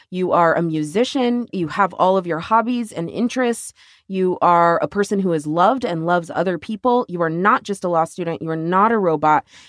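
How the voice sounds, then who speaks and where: A woman with an American accent at medium pitch, fairly quick with hardly any pauses, ordinary pitch variation, dry, close sound with no echo and a quiet background. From Texas. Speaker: podcast co-host, lawyer. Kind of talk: casual chat.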